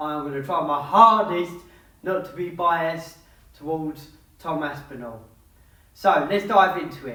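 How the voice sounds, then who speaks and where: The speaker talks at a fairly slow pace in an English accent, with long, frequent pauses. Noticeable background noise runs under the voice. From England. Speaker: MMA YouTuber giving fight predictions. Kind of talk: fight analysis monologue.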